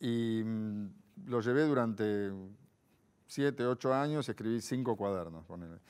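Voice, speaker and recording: A man speaks at a fairly slow pace with ordinary pitch variation and long, frequent pauses. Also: medium pitch for a man. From Argentina, Buenos Aires. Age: 50s. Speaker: philosopher; interview guest. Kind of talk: interview. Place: studio. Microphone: lapel.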